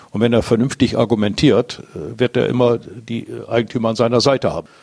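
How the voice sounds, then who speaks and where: Medium pitch marks this man's voice. He talks at a moderate pace. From northwest Germany, around Diepholz (Lower Saxony). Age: 60s. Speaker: business owner. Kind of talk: interview. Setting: at his company premises. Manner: halting, many fillers.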